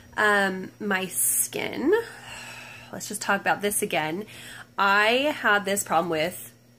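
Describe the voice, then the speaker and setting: A woman's very slow speech with long, frequent pauses and ordinary pitch variation. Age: 30s. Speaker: mom vlogger. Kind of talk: casual vlog monologue. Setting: home at night, nursing baby on lap. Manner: hesitant, many ums. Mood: relaxed, chatty. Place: home room. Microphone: phone near.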